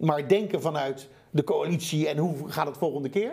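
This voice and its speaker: A man's dark, mellow tone moves along at a moderate pace. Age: 50s. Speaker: sustainable entrepreneur. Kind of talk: interview.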